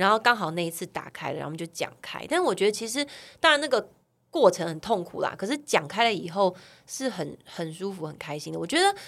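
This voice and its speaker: In a very clean recording with a silent background, a woman with a medium-pitched voice speaks at a fairly quick pace, her loudness swinging widely and her pitch swinging very widely. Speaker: model and TV host, podcaster. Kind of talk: casual chat.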